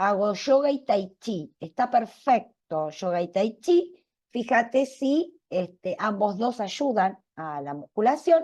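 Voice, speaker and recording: Speaking at a very slow pace, a woman uses a fairly high pitch with very wide pitch swings. Her tone is dark and mellow. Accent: Argentine. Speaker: cardiologist giving a public talk. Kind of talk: public health talk, Q&A.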